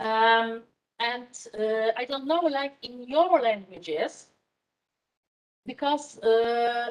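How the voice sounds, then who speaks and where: In a Polish accent, a woman speaks at a very slow pace with a high pitch and lively intonation, her loudness swinging widely between long, frequent pauses. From Poland. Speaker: university lecturer in management. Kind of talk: lecture. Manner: halting, many fillers.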